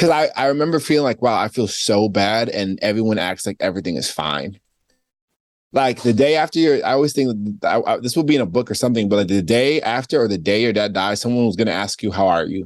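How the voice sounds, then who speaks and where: Very fast and with lively intonation, a man speaks in an American accent. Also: medium pitch for a man. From New York. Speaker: author. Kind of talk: casual chat.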